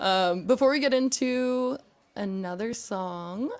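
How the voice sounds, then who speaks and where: A woman with an American accent and lively intonation. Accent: California valley girl. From California. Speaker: podcast host. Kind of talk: casual chat.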